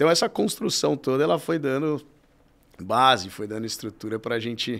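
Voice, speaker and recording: The recording is very clean, with a silent background. A man speaks at medium pitch and a moderate pace with lively intonation. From Brazil, São Paulo (Vila Maria, north zone). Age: 30s. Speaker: futsal club president, sports marketing executive. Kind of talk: interview. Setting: studio. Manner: casual, halting with repetitions.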